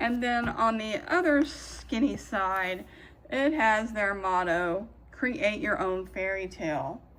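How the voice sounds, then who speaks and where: A woman speaks at a very slow pace with lively intonation, and audible room echo surrounds her voice. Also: medium pitch for a woman. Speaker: craft video creator. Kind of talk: product review. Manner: loud.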